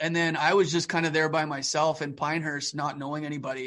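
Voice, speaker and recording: A man with a Canadian accent speaks at a moderate pace. His pitch is fairly high, and the background is quiet. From Calgary, Alberta, Canada. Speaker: stop motion animator. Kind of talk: casual interview chat. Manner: animated.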